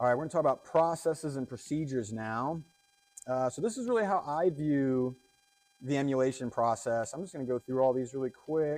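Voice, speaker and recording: A man talks at a fairly quick pace. His voice is fairly high, with ordinary pitch variation. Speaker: cybersecurity analyst giving a conference talk. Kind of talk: conference talk. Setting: stage with audience. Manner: fast.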